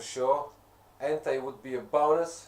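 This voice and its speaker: A man speaks in a monotone, flat intonation. Noticeable background noise can be heard. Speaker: gaming live streamer. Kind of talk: live stream chat while gaming. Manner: halting, with many fillers.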